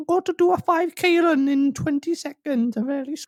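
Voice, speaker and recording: Squeaky and high-pitched, a put-on character voice moves along at a fairly quick pace. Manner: apologetic.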